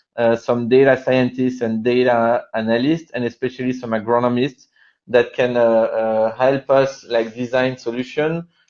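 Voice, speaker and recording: A man speaks at a medium pitch with a French accent. His pace is moderate and his intonation is monotone and flat. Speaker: company co-founder presenting. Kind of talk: webinar presentation. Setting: online webinar. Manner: halting, many fillers.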